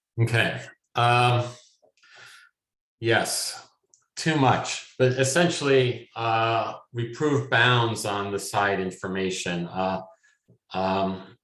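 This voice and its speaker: Audible room echo surrounds a man speaking at medium pitch and a very slow pace, with ordinary pitch variation and long, frequent pauses. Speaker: machine learning academic. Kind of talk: lecture. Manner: halting, many fillers.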